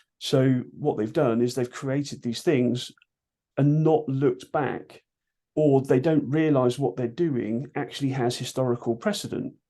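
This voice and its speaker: A man with a British accent talks at a fairly slow pace. His medium-pitched voice is dark and mellow, with ordinary pitch variation. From UK. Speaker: martial arts instructor. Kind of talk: interview. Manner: loud; animated.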